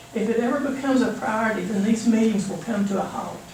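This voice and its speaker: Fairly high in pitch, a woman speaks with ordinary pitch variation. Noticeable background noise and audible room echo are present. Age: 70s. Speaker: citizen speaker, nuclear safety critic. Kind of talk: public comment speech. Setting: public meeting.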